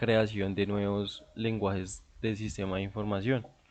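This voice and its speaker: A man speaks in a fairly low pitch with monotone, flat intonation. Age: 20s. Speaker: university student. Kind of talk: class presentation. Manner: halting, many filler sounds.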